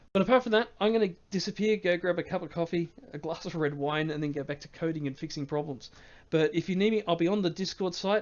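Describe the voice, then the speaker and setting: This man speaks at a very fast pace. His pitch is high, with ordinary variation. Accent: Australian. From Australia. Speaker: game mod developer and streamer. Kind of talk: live stream Q&A. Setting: live stream from home. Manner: hesitant, many fillers.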